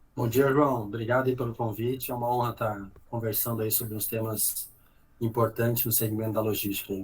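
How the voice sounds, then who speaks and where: A medium-pitched man talking very fast in a flat monotone over noticeable background noise. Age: 30s. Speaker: logistics executive. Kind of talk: podcast interview.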